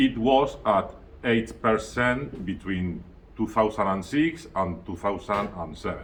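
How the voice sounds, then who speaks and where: A man's fairly low voice with vocal fry and lively intonation, in a Spanish accent, at a very slow pace. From Spain. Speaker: student giving a presentation. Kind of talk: prepared presentation. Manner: halting, self-correcting.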